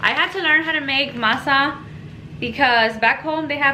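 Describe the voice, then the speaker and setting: A woman with a Spanish accent is heard with audible room echo and noticeable background noise. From Mexico. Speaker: home cooking vlogger. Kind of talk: cooking tutorial. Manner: casual, chatty.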